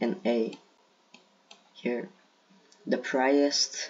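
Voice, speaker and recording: A man is speaking. He has a Brazilian accent. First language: Portuguese. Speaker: gaming video creator. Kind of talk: casual commentary. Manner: halting.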